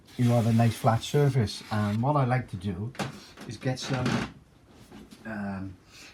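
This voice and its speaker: Medium in pitch, this man talks at a fairly slow pace with fairly even intonation and long, frequent pauses. Noticeable background noise runs underneath. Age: 60s. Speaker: amateur guitar maker, former club singer. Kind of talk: tutorial. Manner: halting, many fillers.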